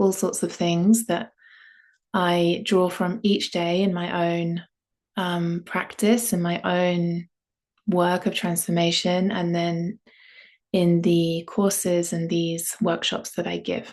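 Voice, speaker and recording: In a southern English accent, a woman speaks at a very slow pace with a calm tone, fairly low pitch and monotone, flat intonation against a quiet background. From London, England. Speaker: yoga and voice teacher. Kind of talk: online workshop introduction. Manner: calm, unhurried with fillers.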